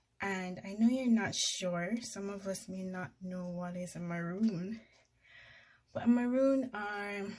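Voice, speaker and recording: The speaker is somewhat breathy and very slow, with ordinary pitch variation and big swings in loudness. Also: woman, medium pitch for a woman. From Jamaica. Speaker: YouTuber. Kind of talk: casual storytelling vlog. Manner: conversational, informal.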